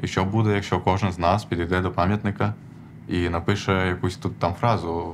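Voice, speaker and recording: A man's very deep, low-pitched voice with fairly even intonation. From Odesa, southern Ukraine. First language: Armenian (speaking Ukrainian). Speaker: activist, programmer. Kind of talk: personal story told from stage. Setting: stage with audience. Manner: halting, many fillers.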